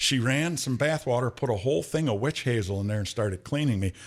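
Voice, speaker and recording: A normal speaking voice from a man, medium in pitch with lively intonation. The recording is very clean, with a silent background. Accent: American. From Michigan, Flint. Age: 60s. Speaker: podcast host, former undercover investigator. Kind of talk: casual chat.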